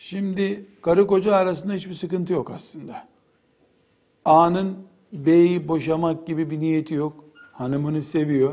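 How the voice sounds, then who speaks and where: A man with a high-pitched voice and a dark, mellow tone. His intonation stays fairly even, and the room echo is audible. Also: fairly slow pace. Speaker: Islamic preacher. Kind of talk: lecture.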